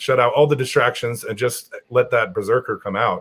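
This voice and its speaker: Talking very fast, a man with an American accent sounds somewhat breathy, with ordinary pitch variation. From New Jersey (Morris County); New Jersey. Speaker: strongman athlete; guest. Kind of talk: casual chat. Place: home room.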